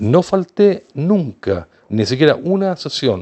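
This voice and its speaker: A man's fairly high voice with very wide pitch swings. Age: 60s. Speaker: video blogger with social phobia. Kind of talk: personal opinion monologue. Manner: repetitive, halting.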